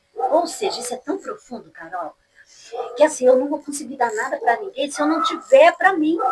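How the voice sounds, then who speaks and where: Lively in intonation and high in pitch, a woman speaks at a moderate pace with big swings in loudness. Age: 60s. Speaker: pastor. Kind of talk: casual chat.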